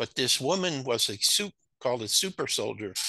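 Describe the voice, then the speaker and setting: With a quiet background and a dry, close sound with no echo, a man speaks at medium pitch in a bright, sharp tone with lively intonation. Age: 60s. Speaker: spiritual author and researcher. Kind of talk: interview. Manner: halting.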